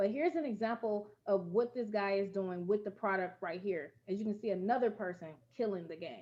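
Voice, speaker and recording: In an American accent, a woman with a dark, mellow tone talks at a fairly quick pace with hardly any pauses. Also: medium pitch for a woman, ordinary pitch variation. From US Midwest, Gary, Indiana. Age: 20s. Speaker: network marketing presenter. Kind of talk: sales pitch. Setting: online group call.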